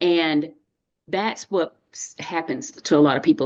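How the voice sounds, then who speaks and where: This woman has a fairly low-pitched voice and a Texan accent. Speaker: dietitian and nutrition coach. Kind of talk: webinar interview.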